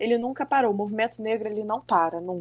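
A woman has a plain, everyday voice with a fairly high pitch and ordinary pitch variation. The background is quiet. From Brazil, Rio de Janeiro state (Macaé). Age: 30s. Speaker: schoolteacher. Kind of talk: casual interview.

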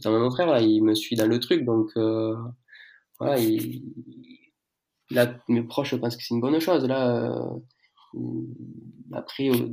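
Speaking at a very slow pace, a man with medium pitch leaves long, frequent pauses. He has a southern French accent and fairly even intonation. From southern France. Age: 20s. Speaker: fitness brand founder and coach. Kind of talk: casual interview. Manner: halting.

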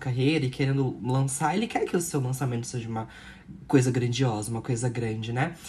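A woman speaks in a somewhat breathy voice. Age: 20s. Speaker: podcast co-host. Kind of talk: casual chat.

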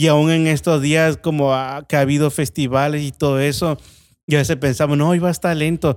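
A man with a Veracruz accent speaks at a moderate pace, his pitch fairly high. His intonation is monotone and flat. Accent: Veracruz Mexican Spanish. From Mexico, Veracruz. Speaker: restaurant owner. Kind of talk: testimony.

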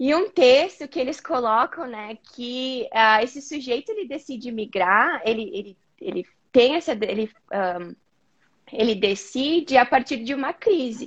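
Her voice pitched high, a woman speaks at a fairly slow pace with lively intonation and big swings in loudness. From southern Brazil, Rio Grande do Sul (Caxias do Sul). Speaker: psychologist. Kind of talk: interview on a live video chat.

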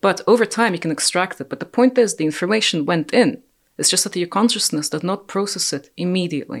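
At a very fast pace, a woman talks with lively intonation. Her pitch is medium. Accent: Russian. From Ukraine (Russian-speaking family). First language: Russian. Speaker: podcast guest. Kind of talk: casual conversation.

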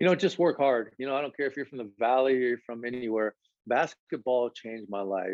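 An unremarkable speaking voice from a man, fairly quick, medium in pitch, with ordinary pitch variation. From Nebraska. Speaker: basketball coach. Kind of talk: interview.

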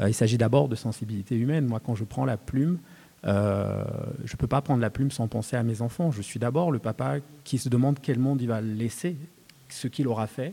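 This man has a dark, mellow tone and a medium pitch. He speaks at a moderate pace with ordinary pitch variation. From Cameroon (Douala). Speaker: poet and novelist. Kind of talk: panel talk at a literary festival. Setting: stage with live audience. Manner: halting, frequent word repetitions.

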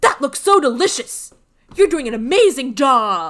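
A put-on character voice, high in pitch, jumps through very wide pitch swings. The pace is moderate. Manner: yelling angrily while saying kind things.

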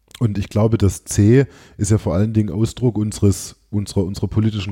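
On a very clean recording with a silent background, a man talks at a fairly quick pace in a dark, mellow, somewhat breathy tone. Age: 30s. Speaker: politician. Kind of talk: interview. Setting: office.

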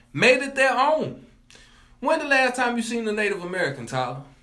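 Using a raised, projected voice with a bright, sharp tone, a man speaks at an extremely high pitch and a moderate pace, with ordinary pitch variation. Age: 20s. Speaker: college student. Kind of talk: casual chat.

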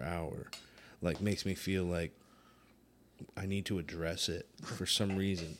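Fairly even intonation from a man with a very deep, low voice, moderately paced, on a very clean recording against a silent background. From Puerto Rican heritage. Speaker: musician. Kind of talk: casual chat.

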